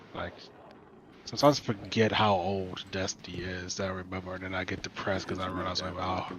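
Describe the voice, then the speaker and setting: A man's very deep, low voice at a very fast pace, with monotone, flat intonation. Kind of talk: casual chat while gaming. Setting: Discord voice chat.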